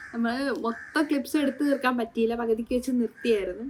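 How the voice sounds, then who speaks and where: A woman speaks in an ordinary speaking voice, fairly high in pitch, with ordinary pitch variation. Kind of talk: casual vlog talk to camera. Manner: excited, happy.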